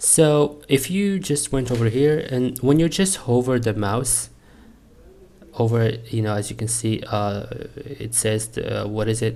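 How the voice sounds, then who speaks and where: A man with a non-native accent speaks at a fairly slow pace. His medium pitch shows ordinary pitch variation. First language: not English. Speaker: networking student. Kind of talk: tutorial. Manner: halting.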